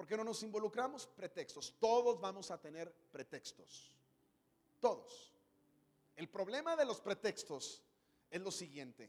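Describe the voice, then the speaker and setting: A man speaks at a high pitch with very wide pitch swings and an animated tone. His pace is fairly slow, broken by long, frequent pauses. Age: 30s. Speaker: pastor. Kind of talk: sermon. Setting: church stage with audience.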